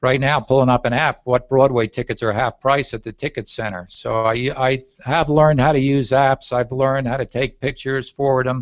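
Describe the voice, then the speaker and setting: This is a normal speaking voice, a man's, at a medium pitch. He keeps a moderate pace with fairly even intonation. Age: 60s. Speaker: travel and leisure speaker, coach. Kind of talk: interview.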